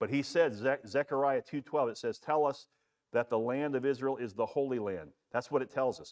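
A man in a plain, everyday voice speaks at a fairly quick pace with medium pitch and ordinary pitch variation, in a dry, close sound with no echo and a quiet background. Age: 60s. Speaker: pastor. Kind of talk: bible study teaching. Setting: church. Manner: conversational with frequent fillers.

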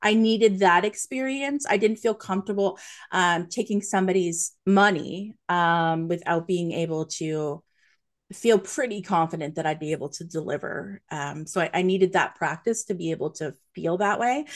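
A woman uses an ordinary speaking voice at a moderate pace with ordinary pitch variation. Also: medium pitch for a woman, quiet background. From Nova Scotia, Canada. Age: 40s. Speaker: psychic medium. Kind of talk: interview. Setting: video call.

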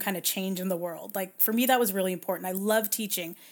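On a very clean recording with a silent background, a woman speaks at medium pitch with fairly even intonation. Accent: Californian. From Southern California. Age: 40s. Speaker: bioethicist. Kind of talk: casual interview.

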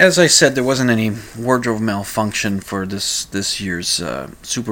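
Speaking in an American accent, a man has a medium pitch and ordinary pitch variation. His pace is fairly slow, and there is noticeable background noise. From Minnesota. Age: 50s. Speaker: podcast talk show host. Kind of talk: solo talk-radio monologue, casual and rambling; radio DJ patter, station ID and break outro in upbeat announcer style. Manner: hesitant, full of uh and repeated words; chuckling, jovial, punchy sign-off delivery.

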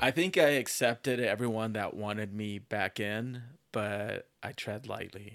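In a normal speaking voice, a man with an American accent talks at a fairly slow pace, his medium pitch showing ordinary variation. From Texas, Dallas area. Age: 40s. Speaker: recovering alcoholic. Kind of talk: interview.

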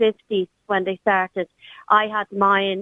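Speaking at a very slow pace, a woman with an Irish accent keeps a monotone, flat intonation. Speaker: radio caller. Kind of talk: phone-in conversation. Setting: phone call.

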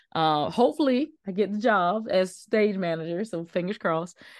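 A woman speaks at a fairly quick pace in a normal speaking voice. The background is quiet. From South Carolina, small town. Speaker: actress. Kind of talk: casual interview.

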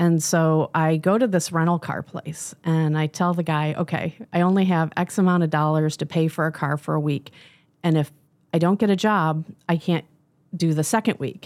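Here is a plain, everyday voice from a woman with an American accent and a fairly low pitch. Her pace is moderate and her intonation fairly even. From Michigan. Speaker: business coach. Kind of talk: interview. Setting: studio.

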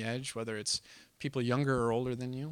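On a very clean recording with a silent background, a man with an American accent speaks at medium pitch. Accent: slight Canadian-tinged American. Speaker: youth group speaker. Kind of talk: sermon. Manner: informal, conversational, hesitant with fillers.

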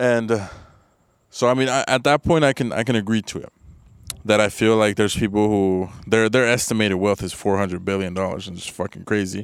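Speaking fairly quickly, a man with an ordinary speaking voice stays fairly low in pitch with ordinary pitch variation. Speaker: podcast co-host. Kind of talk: casual banter.

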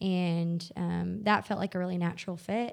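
A woman speaks at medium pitch and a fairly slow pace with a Southern US accent. The recording is very clean, with a silent background. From US South, northwest Arkansas. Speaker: nonprofit worker. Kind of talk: interview.

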